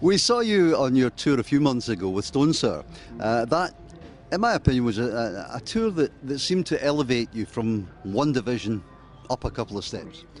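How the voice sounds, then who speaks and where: Over music in the background, a man talks at a moderate pace with lively intonation and a medium pitch. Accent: Glasgow. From Scotland (Glasgow). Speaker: radio interviewer. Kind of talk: interview. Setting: music festival. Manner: halting, repeats words.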